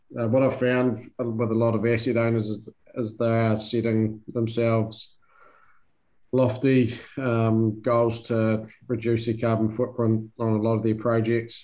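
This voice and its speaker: A man with a New Zealand accent speaks at a medium pitch in a dark, mellow tone, his intonation monotone and flat and his loudness very even. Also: fairly slow pace. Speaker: country manager at a construction technology company. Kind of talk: interview. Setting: video call. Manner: halting, many fillers.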